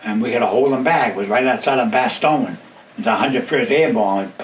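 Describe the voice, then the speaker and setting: A medium-pitched man with an American accent, very wide pitch swings and noticeable background noise. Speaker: war veteran. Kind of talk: interview answer.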